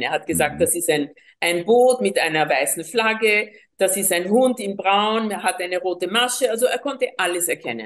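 A woman with a Spanish accent, medium in pitch, at a moderate pace with ordinary pitch variation. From Colombia. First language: Spanish (speaking German). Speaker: teacher of seeing without eyes method. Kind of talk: interview conversation. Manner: hesitant, many fillers.

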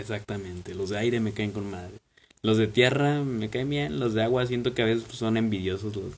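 A man with a Mexican accent, fairly low in pitch, at a fairly quick pace with ordinary pitch variation. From Mexico. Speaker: podcast host. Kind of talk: casual chat.

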